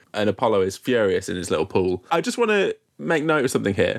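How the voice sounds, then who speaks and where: A man with a British accent speaks at a fairly quick pace, his pitch swinging very widely and showing vocal fry. The recording is very clean, with a silent background. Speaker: podcast host. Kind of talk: casual comedic banter.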